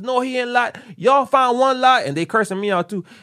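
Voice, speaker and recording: Against a quiet background, a man talks in an animated tone with lively intonation. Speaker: podcast host. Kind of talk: casual chat.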